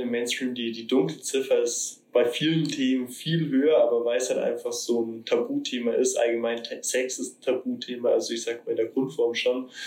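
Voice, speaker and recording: Hardly pausing at all, a man keeps to a moderate pace. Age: 20s. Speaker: flatmate guest. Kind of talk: casual chat. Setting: shared flat, kitchen table.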